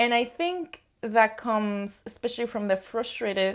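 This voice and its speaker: A woman speaks with a Spanish accent and fairly even intonation. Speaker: knitting vlogger. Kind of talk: casual vlog monologue.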